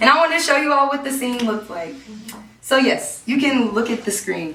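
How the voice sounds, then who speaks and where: Amid noticeable background noise and audible room echo, a woman with a high pitch talks fairly quickly in a raised, projected, animated voice with lively intonation. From Missouri, Kansas City. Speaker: actress and storyteller. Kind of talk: one-woman show testimony. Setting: stage with audience.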